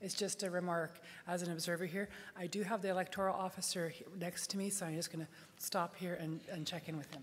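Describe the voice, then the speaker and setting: Speaking very fast, a woman keeps a fairly low pitch with monotone, flat intonation. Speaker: meeting chair. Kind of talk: meeting moderation. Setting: stage with audience.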